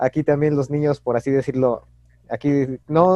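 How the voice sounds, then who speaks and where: The voice has a dark, mellow tone, captured with a dry, close sound that has no echo. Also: man. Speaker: podcast co-host. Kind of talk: casual chat.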